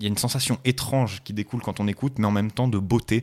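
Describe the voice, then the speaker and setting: A man's fairly low voice at a very fast pace. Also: very clean recording, silent background. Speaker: podcast co-host. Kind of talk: casual chat. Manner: loud; animated.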